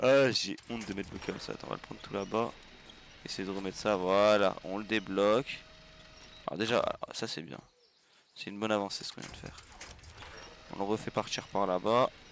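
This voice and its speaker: A man's fairly low voice at a fairly quick pace, with long, frequent pauses, big swings in loudness and noticeable background noise. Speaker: gaming streamer. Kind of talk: live gameplay commentary. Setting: livestream. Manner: animated.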